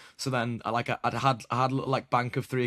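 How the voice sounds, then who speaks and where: Speaking very fast in a British accent, a man at medium pitch comes through dry and close with no echo, on a very clean recording with a silent background. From Britain. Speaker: basketball podcast host. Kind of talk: casual podcast interview.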